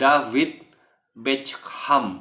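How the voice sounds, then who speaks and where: Someone uses a raspy put-on character voice at a low-to-middle pitch. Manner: accent demonstration.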